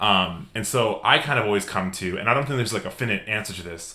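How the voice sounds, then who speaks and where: A man's fairly low voice with a bright, sharp tone. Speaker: podcast host. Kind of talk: casual chat.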